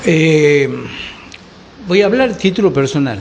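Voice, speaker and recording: Fairly slow pace and lively intonation, with audible room echo and noticeable background noise. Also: man. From Argentina. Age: 60s. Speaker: political commentator. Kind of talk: panel discussion. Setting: bar.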